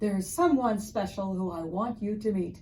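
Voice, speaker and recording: Using a put-on character voice, a woman speaks at medium pitch and a moderate pace with lively intonation. Background noise is clearly heard. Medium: read story.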